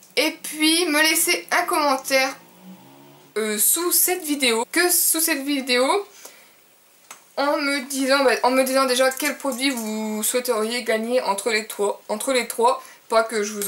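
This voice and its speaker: Over noticeable background noise, a woman with a high pitch talks very slowly, with lively intonation and big swings in loudness. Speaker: beauty vlogger. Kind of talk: casual vlog to camera. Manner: hesitant with many fillers.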